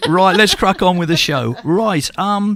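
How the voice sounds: A man with a high pitch, fairly bright tone, ordinary pitch variation and a fairly slow pace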